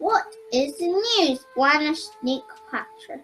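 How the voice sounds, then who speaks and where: A woman's put-on character voice at an extremely high pitch, fairly slow, with faint music in the background. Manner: cheery.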